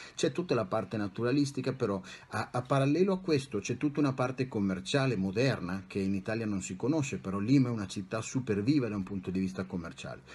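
Speaking at a very fast pace, the man uses lively intonation and a medium pitch. His voice sounds somewhat breathy. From Italy, Bologna; Italy. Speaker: psychologist and life coach; life coach. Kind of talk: interview. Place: home room. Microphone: webcam.

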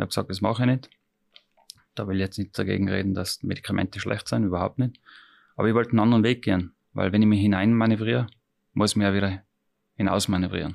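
A very fast man's voice, fairly low in pitch, with fairly even intonation and long, frequent pauses. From Austria, Tyrol. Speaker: chef. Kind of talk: interview. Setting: restaurant.

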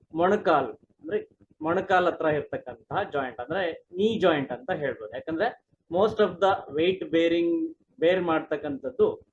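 Here a man speaks in a high pitch. His pitch varies in an ordinary way. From India, Karnataka (Challakere, Chitradurga district). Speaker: Ayurvedic doctor and professor. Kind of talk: medical explanation interview.

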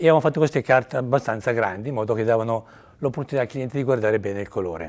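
A man talks at a very fast pace. His pitch varies in an ordinary way, and the background is quiet. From Italy. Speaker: paint lab technician. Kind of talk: testimony. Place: studio.

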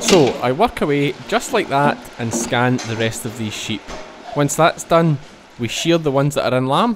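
Over noticeable background noise, a man with a strong Scottish accent talks at a moderate pace, with a fairly high pitch and lively intonation. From Scotland. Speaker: sheep farmer and vlogger. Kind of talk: vlog narration. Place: farm machine.

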